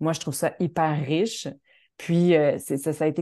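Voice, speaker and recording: A woman speaks at a very deep, low pitch and a moderate pace. Her intonation is fairly even, and the background is quiet. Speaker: choreographer and dancer. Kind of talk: interview. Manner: halting, many repetitions.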